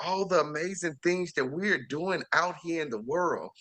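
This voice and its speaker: An animated man with an American accent talks at a moderate pace, his fairly high voice bright and sharp in tone. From Chicago. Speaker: chef and TV series host. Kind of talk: interview.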